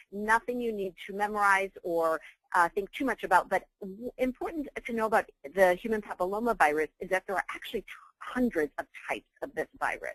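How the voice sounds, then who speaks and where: A woman talks at a fairly quick pace and a medium pitch, with ordinary pitch variation. The sound is dry and close, with no echo. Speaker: physician and professor. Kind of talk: webinar lecture. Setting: online webinar call. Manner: fast.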